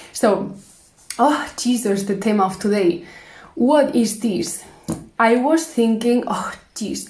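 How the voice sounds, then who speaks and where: A woman's fairly high voice with a Spanish accent, very slow pace, long and frequent pauses, ordinary pitch variation, and audible room echo. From Spain. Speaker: vlogger. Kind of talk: casual monologue vlog. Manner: hesitant, halting.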